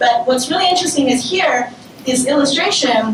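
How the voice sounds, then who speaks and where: A woman speaks in a high pitch. There is noticeable background noise and audible room echo. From China, Shanghai. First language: Chinese. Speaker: designer and design lecturer. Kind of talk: talk to an audience. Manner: hesitant, with filler sounds.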